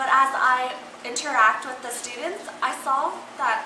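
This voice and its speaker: In an American accent, a woman speaks in a raised, projected voice at a high pitch. Audible room echo and noticeable background noise fill the recording. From Utah, US. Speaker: college student mentor. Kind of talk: student video reflection.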